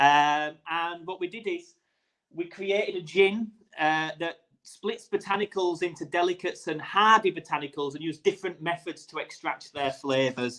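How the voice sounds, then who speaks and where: A man with a high-pitched, bright, sharp tone speaks with big swings in loudness. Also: ordinary pitch variation, moderate pace. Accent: Yorkshire. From Yorkshire, northern England. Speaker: gin distiller and brand founder. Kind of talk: casual interview.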